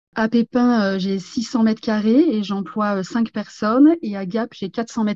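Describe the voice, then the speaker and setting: A woman speaks at a moderate pace, her pitch fairly high with ordinary variation. Her tone is dark and mellow, somewhat breathy, and the sound is dry and close with no echo. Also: hardly any pauses. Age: 50s. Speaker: franchise store owner. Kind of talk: interview. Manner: hesitant, many fillers.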